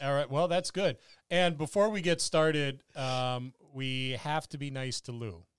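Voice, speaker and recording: This man has an unremarkable speaking voice, fairly high in pitch with ordinary pitch variation. He talks at a fairly slow pace in a very clean recording with a silent background. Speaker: podcast host. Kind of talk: casual chat. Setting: Facebook live video stream.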